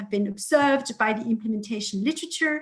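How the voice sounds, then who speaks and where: A somewhat breathy woman with a fairly high pitch. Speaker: political science researcher. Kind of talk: academic presentation. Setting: video call webinar. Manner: hesitant, many fillers.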